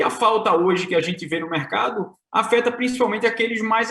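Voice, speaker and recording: A man speaks in a raised, projected voice with a Pernambuco accent, his pitch high and his tone bright and sharp, with ordinary pitch variation at a moderate pace amid audible room echo. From Brazil, Pernambuco. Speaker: tech company co-founder. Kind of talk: conference presentation. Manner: hesitant, many filler sounds.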